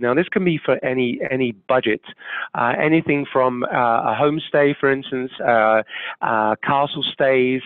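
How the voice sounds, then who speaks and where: Here a man speaks with a British accent at a medium pitch. His pace is moderate and his pitch varies in an ordinary way. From UK. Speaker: travel tour operator. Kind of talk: webcast presentation. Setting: studio.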